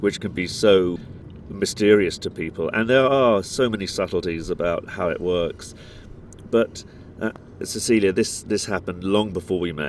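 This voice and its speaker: Here a man talks with a British accent at a fairly low pitch. His pace is moderate, with ordinary pitch variation. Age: 40s. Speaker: podcast co-host. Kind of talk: casual chat. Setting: outdoors.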